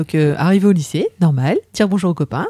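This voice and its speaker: In a dark, mellow tone, a woman talks at a fairly quick pace, the sound dry and close with no echo. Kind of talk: casual chat.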